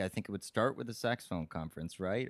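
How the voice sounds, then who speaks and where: A man with an American accent speaks in an ordinary speaking voice, fairly low in pitch with lively intonation, recorded with a dry, close sound and no echo. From California. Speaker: saxophonist. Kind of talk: casual chat. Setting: sharing one mic on a couch.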